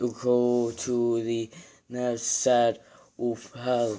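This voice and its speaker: A man uses a put-on character voice at a medium pitch, speaking at a very slow pace. His intonation is monotone and flat. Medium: read story.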